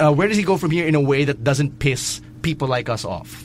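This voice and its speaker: A man's fairly high voice with vocal fry and lively intonation at a moderate pace. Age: 20s. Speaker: wrestling podcast host. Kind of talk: casual chat.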